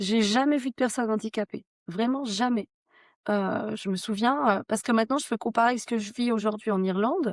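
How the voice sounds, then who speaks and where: An unremarkable speaking voice from a woman, fairly high in pitch with ordinary pitch variation and a fairly quick pace, dry and close with no echo, on a very clean recording against a silent background. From France, Haute-Savoie. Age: 30s. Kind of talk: podcast interview, personal testimony.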